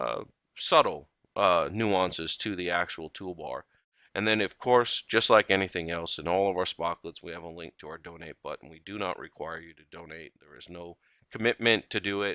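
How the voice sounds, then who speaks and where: A man speaks with a very deep, low pitch. His loudness swings widely. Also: ordinary pitch variation. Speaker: software tutorial presenter. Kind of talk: screencast tutorial. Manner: fast; casual with filler words.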